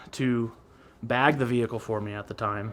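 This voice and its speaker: A man speaks loudly in a bright, sharp tone. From Alaska. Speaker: car builder. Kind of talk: casual chat. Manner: animated.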